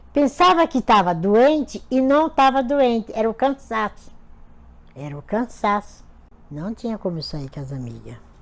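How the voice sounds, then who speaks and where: Pitch swinging very widely and loudness in big swings, a woman with a fairly high voice talks at a fairly slow pace. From Pernambuco, Brazil. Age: 60s. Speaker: retired domestic worker. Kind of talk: interview.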